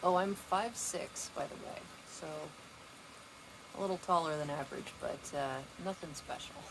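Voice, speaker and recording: Over noticeable background noise, a woman with a fairly low pitch and ordinary pitch variation talks with long, frequent pauses and big swings in loudness. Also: moderate pace. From Pacific Northwest. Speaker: streamer. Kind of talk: casual livestream chat. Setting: outdoors on patio.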